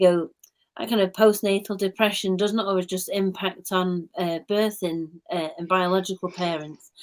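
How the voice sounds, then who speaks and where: A woman with a Mancunian accent speaks at a moderate pace, her medium-pitched voice monotone and flat in intonation. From Manchester, England. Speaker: play therapist. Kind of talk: live stream chat.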